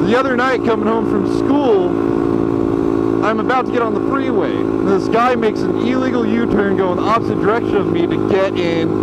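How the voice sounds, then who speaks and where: A moderate pace with hardly any pauses, dry with no echo, over loud background noise. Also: man. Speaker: motovlogger rider. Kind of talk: casual vlog chat. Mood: annoyed, ranting. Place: motorbike.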